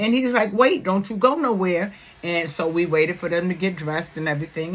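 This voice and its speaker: A woman talks in an animated tone with a New York accent. Her pitch sits in the medium range. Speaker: YouTube commentator. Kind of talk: casual vlog talk. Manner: loud.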